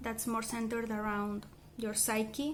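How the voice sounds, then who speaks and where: Speaking with a Spanish accent, a woman talks at a moderate pace with a fairly high pitch. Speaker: language learner vlogger. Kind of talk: casual vlog monologue. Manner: hesitant with fillers and self-corrections.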